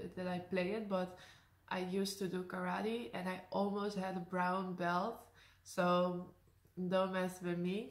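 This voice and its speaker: Speaking at a fairly slow pace with a Dutch accent, a woman keeps a monotone, flat intonation at medium pitch. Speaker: YouTuber. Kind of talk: casual talk to camera.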